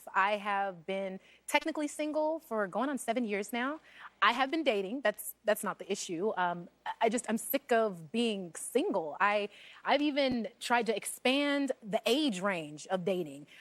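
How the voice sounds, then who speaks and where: A woman with a slight Texas accent speaks in a fairly high pitch with very wide pitch swings, in a dry, close sound with no echo. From Texas (Corpus Christi, Houston). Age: 30s. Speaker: talk show guest. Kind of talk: casual chat. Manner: fast, talkative.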